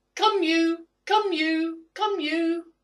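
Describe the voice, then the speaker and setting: This is a put-on character voice. It sounds squeaky. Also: female-sounding voice, extremely high pitch for a woman. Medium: solo performance.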